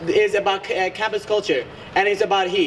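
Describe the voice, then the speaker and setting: Noticeable background noise runs under the recording. A man speaks at a high pitch with ordinary pitch variation. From Bangladesh. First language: Bengali. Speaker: student election candidate. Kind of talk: debate. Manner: hesitant, many fillers.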